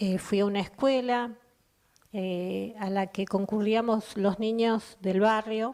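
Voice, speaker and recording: A woman's fairly high voice, monotone and flat, at a very slow pace. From Argentina, Chubut (Comodoro Rivadavia area). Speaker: poet. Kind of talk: personal testimony.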